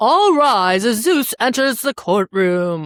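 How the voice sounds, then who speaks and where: A female-sounding, put-on character voice bellows in a booming way at a fairly high pitch. The pace is fairly slow. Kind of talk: formal courtroom. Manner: bellowing, booming.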